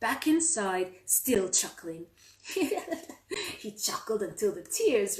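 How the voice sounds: What we hear is a natural reading voice.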